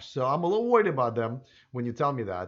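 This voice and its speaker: A man speaks with a non-native accent against a quiet background. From Russia. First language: Russian. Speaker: YouTuber on electric cars. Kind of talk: live stream Q&A reading viewer comments. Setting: live stream. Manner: halting, many fillers.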